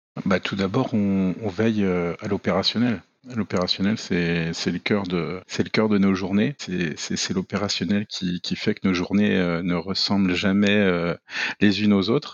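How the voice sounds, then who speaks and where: A man with a fairly low pitch talks at a very slow pace. His intonation stays fairly even. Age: 40s. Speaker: airport fire service manager. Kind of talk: interview. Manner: hesitant, many fillers and repetitions.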